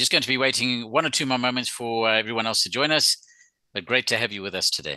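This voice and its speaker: A man with a South African accent speaks at a very fast pace in a bright, sharp tone, with a quiet background. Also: medium pitch for a man, ordinary pitch variation. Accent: sounds South African. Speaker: webinar host. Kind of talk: webinar presentation. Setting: video call. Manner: hesitant, with filler words.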